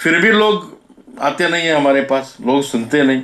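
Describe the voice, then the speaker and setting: A man with a non-native accent and a medium pitch. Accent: non-native Hindi. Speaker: speaker on Goan culture and history. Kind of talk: talk to an audience. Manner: halting.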